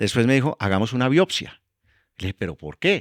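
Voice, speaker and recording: An ordinary speaking voice from a man, fairly quick with lively intonation, dry and close with no echo on a very clean recording with a silent background. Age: 60s. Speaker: energy executive. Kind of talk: interview; testimony.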